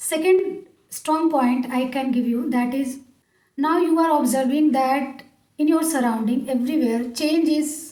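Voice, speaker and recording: In a room with audible echo, a woman with an Indian accent speaks at a high pitch. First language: Hindi. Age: 40s. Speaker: English speaking coach. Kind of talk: motivational talk to camera. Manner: hesitant with fillers.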